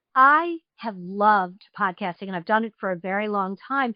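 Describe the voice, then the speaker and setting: A woman with a slight New York accent talks at a fairly high pitch, her intonation lively. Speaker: podcast host. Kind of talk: interview.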